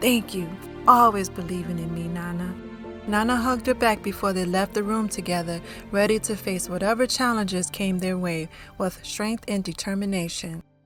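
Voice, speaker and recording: Over music in the background, a woman with a medium pitch talks at a moderate pace, her pitch varying an ordinary amount. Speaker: author and narrator. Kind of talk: audio drama narration.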